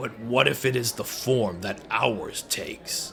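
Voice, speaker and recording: In a raspy, put-on character voice, a man talks at a fairly slow pace with medium pitch and fairly even intonation, over clear background noise. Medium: read story.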